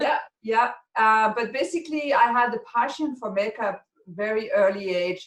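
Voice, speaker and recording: Here a woman talks at a moderate pace. She has a French accent. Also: fairly high pitch for a woman, lively intonation. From France. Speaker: makeup artist and educator. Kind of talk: interview.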